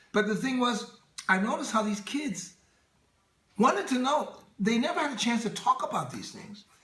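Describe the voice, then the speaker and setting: A man with an American accent projects a raised voice at an extremely high pitch, speaking at a moderate pace with ordinary pitch variation and long, frequent pauses. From Oakland, California, USA. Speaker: actor and entertainer. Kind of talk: interview answer.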